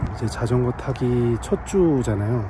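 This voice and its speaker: There is noticeable noise behind this speaker. He is a man whose intonation is lively. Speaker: vlogger. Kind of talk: vlog narration. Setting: outdoors. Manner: casual, relaxed.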